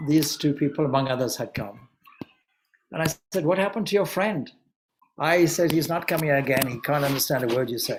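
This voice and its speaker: Speaking with a Zimbabwean accent, a man uses a fairly high pitch with ordinary variation. He moves at a fairly quick pace, with long, frequent pauses. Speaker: Vedanta monk and spiritual teacher. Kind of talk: anniversary celebration talk. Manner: hesitant, with filler words.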